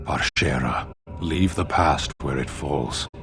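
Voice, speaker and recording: Doing a put-on character voice, a man speaks fairly slowly in a very deep, low pitch with fairly even intonation, the sound dry and close with no echo. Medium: video game. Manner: stern, blunt.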